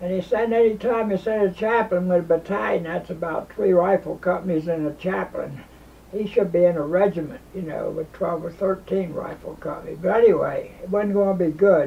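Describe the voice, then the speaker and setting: At a fairly quick pace, a man speaks with high pitch. His intonation stays fairly even. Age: 90s. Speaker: war veteran. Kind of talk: storytelling. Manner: halting.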